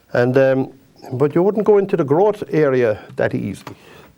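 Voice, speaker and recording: Speaking at a moderate pace in a Kerry Irish accent, the voice moves through very wide pitch swings. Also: man. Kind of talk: painting tutorial. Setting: TV studio. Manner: chatty, repetitive.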